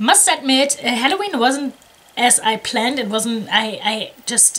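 A woman talks at a moderate pace with lively intonation. There is light background noise. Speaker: jigsaw hobby vlogger. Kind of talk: casual vlog chat. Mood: cheerful, a bit scattered. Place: home room.

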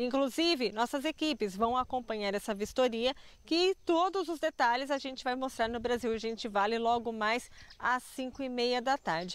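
She has a high pitch and lively intonation at a moderate pace. The sound is dry with no echo. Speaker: TV reporter. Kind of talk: live news report. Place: open country. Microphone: handheld.

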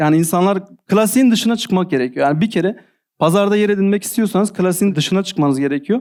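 A man talks in a high voice, and his pitch rises and falls by an ordinary amount. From Adıyaman, southeastern Turkey. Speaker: e-commerce seller and digital marketing manager. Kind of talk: interview.

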